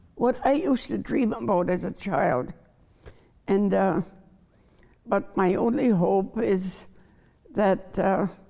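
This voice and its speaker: The voice is dark and mellow with vocal fry and very even loudness. Its intonation is lively, while the pace is very slow with long, frequent pauses. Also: woman, medium pitch for a woman. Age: 80s+. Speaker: chef. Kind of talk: panel discussion.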